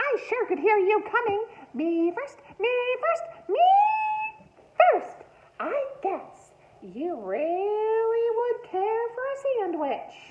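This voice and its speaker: In a put-on character voice, a woman speaks squeaky and cackling at an extremely high pitch, at a very slow pace full of long, frequent pauses. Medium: read story. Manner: cackling, bossy.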